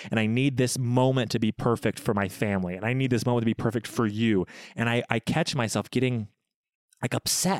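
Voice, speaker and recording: In an ordinary speaking voice, a man of medium pitch talks at a moderate pace, with a dry, close sound with no echo on a very clean recording with a silent background. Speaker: podcast host, expectant father. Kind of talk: casual chat between partners.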